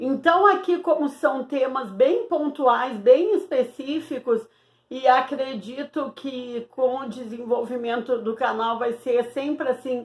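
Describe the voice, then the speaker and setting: Her pitch is high, and her intonation lively. The woman speaks at a very slow pace. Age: 60s. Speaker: Portuguese teacher. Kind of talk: online lesson. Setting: home recording alone.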